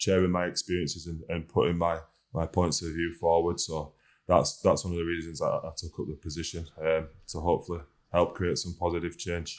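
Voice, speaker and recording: The speaker talks at a fairly quick pace in a northern English accent, with flat, monotone intonation. The recording is very clean, with a silent background. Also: man. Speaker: rugby league player, team captain. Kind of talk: podcast interview. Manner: halting, many fillers.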